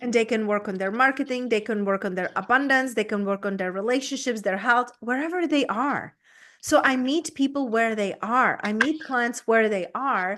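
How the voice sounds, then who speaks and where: A woman with a Czech accent speaks at a moderate pace and fairly high pitch, with ordinary pitch variation, over a quiet background. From Czech Republic. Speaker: business coach. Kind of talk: interview.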